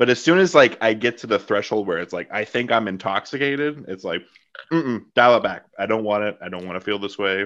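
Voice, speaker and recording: A man talks at a fairly quick pace with ordinary pitch variation, an ordinary speaking voice. The background is quiet. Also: fairly low pitch for a man. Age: 30s. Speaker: podcast host. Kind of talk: casual interview chat.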